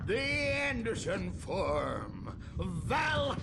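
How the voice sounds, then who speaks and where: Over loud background noise, a man does a cartoonish character voice at a very slow pace. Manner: rambling, cackling, conspiratorial.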